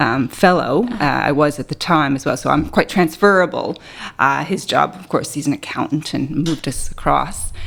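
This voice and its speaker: A woman with a Canadian accent talks at a moderate pace in a very deep, low pitch, with vocal fry. Her pitch variation is ordinary, while her loudness swings widely. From Canada, Ontario. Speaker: biostatistician, associate professor. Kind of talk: podcast interview. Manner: hesitant, with many fillers.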